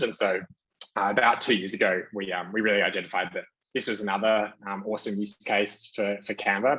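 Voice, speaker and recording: A man with an Australian accent talks at a moderate pace and a fairly low pitch. His intonation stays fairly even. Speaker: marketing executive. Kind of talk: conference talk with slides. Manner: many fillers and restarts.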